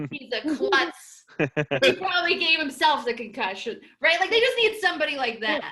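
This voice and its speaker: A woman uses a raised, projected voice with a bright, sharp tone. She keeps a moderate pace, and her pitch swings very wide. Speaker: comedian. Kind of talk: stand-up. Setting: video call.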